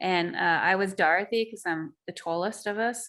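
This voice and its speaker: A woman's bright, sharp tone stands out over a quiet background. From Australia. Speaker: axe throwing podcast co-host. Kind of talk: casual chat. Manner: animated.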